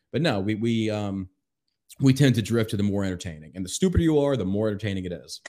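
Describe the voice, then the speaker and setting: Speaking at a very fast pace, a man with an American accent uses lively intonation. His voice is fairly low in pitch, with a dark, mellow tone. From US, small football town. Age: 30s. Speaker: military veteran. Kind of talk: casual chat.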